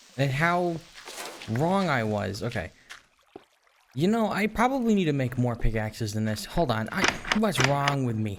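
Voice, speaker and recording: A man speaks quietly at medium pitch and a moderate pace, with very wide pitch swings. Long pauses come often. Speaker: gaming commentator. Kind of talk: let's play commentary. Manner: quiet, low-key; halting.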